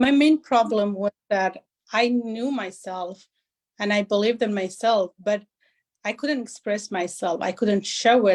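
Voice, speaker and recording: The speaker has a non-native accent and talks at a fairly slow pace with ordinary pitch variation. The sound is dry and close with no echo. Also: woman, fairly high pitch for a woman. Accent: foreign. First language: not English. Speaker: business consultant. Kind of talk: interview.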